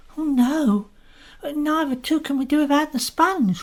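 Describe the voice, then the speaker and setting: A woman's put-on character voice, high in pitch, at a moderate pace with ordinary pitch variation. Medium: audio drama. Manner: polite, deferential.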